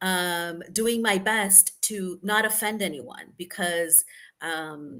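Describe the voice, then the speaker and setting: A woman's voice with a bright, sharp tone. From Brazil. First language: Portuguese. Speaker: expat coach. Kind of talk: webinar discussion.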